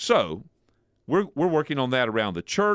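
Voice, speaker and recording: Playful in tone, a man talks at a fairly quick pace. His pitch swings very widely. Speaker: podcast host. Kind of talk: casual chat. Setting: studio. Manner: joking, playful.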